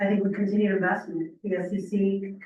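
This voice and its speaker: There is audible room echo around a woman's medium-pitched voice. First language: not English. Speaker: program participant giving testimony. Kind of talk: testimony. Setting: public meeting, in person. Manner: halting, with frequent fillers.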